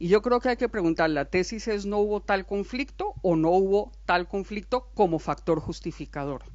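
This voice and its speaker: A woman speaks at a medium pitch with lively intonation. Her pace is moderate. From Colombia. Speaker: academic speaker at a book presentation. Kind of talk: panel discussion.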